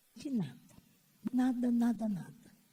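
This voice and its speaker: A woman speaks very slowly, somewhat breathy. Her tone is dark and mellow. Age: old. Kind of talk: panel talk. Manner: halting.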